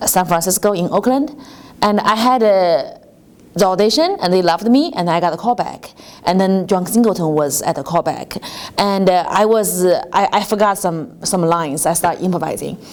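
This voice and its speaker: With a strong Chinese accent, a woman speaks at a moderate pace in a medium pitch with ordinary pitch variation. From China. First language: Mandarin Chinese. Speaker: comedian. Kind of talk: casual interview chat.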